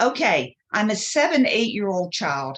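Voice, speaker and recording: At a fairly slow pace, a woman is talking. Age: 70s. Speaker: healing practitioner. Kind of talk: interview. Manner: animated.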